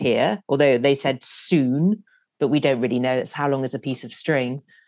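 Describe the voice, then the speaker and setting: Here is a woman speaking. She has a British accent. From UK. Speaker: TV news producer. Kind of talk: interview.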